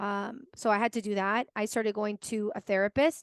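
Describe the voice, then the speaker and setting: The sound is dry and close, without any echo. A woman talks over a quiet background. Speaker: podcast host. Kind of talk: casual interview chat. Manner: conversational, many filler words.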